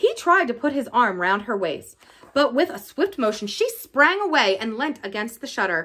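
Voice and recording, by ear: A natural voice reading text aloud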